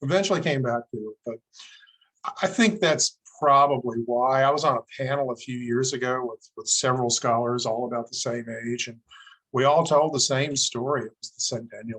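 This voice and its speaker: A man with an American accent has an ordinary speaking voice at a moderate pace and medium pitch, with ordinary pitch variation. His loudness swings widely, and the sound is dry and close with no echo. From Southwest Virginia. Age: 60s. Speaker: historian. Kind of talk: interview.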